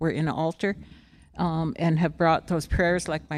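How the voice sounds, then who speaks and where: A woman talks in a very deep, low pitch with vocal fry and monotone, flat intonation. The recording is very clean, with a silent background. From Dakota lands along the Missouri River. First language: Dakota. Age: 70s. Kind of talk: ceremonial speech.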